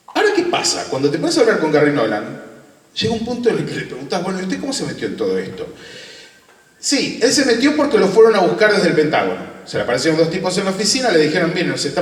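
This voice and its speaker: Over noticeable background noise and audible room echo, a man talks at a very fast pace. His high voice swings very widely in pitch. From Argentina. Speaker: UFO researcher and interviewer. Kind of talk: conference talk.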